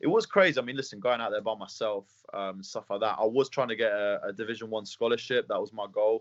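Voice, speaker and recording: A man talks at a very fast pace with an English accent. He barely pauses. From England. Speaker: mixed martial arts fighter. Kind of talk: interview. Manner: fast, halting with repeated words.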